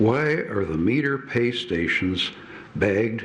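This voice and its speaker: With noticeable background noise and audible room echo, a man speaks very slowly at a fairly low pitch, his intonation lively. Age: 80s+. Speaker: public commenter at city meeting. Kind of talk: public comment speech. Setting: city council chamber. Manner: halting.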